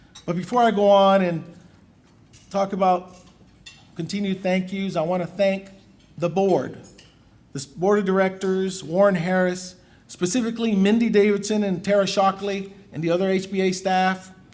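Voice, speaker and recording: A man's high, monotone voice at a moderate pace, with long, frequent pauses and audible room echo. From Puerto Rico. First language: Spanish. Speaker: lawyer, bar association president. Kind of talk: formal acceptance speech. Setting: banquet stage with audience.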